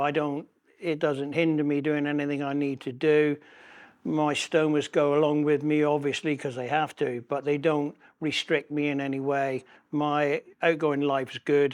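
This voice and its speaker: A man with a West Country accent, fairly slow and at a fairly high pitch, with monotone, flat intonation against a quiet background. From West Country, England. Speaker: patient sharing his ostomy story. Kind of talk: personal testimony interview.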